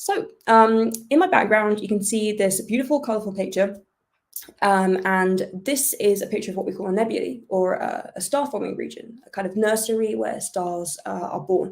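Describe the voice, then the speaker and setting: With a British accent, a woman speaks at a moderate pace, her medium pitch showing ordinary variation. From United Kingdom. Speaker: astrophysicist. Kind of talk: public science talk. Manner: hesitant, with many fillers.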